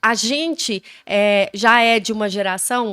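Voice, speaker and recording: A woman is speaking. Her pitch sits fairly high. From Brazil, Goiás. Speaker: podcast host, mother. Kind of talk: casual chat.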